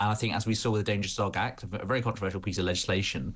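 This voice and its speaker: A man's fairly low, flat monotone voice. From UK. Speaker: political journalist. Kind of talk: panel discussion. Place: home room. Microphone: phone near.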